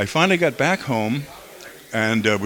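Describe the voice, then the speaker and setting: Noticeable background noise behind a man at a moderate pace, with an American accent. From Boston, Massachusetts. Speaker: radio DJ and voiceover artist. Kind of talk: casual interview.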